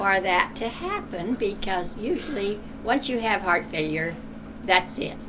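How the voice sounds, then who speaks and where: A woman's moderately paced speech comes through noticeable background noise. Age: 80s+. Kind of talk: testimonial interview answer.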